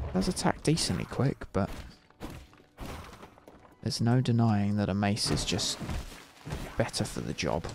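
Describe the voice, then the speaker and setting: Over noticeable background noise, a man with a British accent speaks at a moderate pace and a fairly low pitch, using lively intonation and long, frequent pauses. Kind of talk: casual gaming commentary. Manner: soft-spoken, relaxed.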